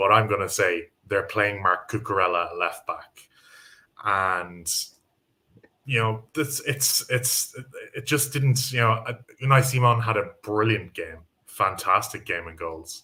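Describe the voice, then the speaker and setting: Speaking with an Irish accent, a man uses a bright, sharp tone at a medium pitch, keeping a fairly slow pace broken by long, frequent pauses. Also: ordinary pitch variation. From Ireland. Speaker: football pundit. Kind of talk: casual chat.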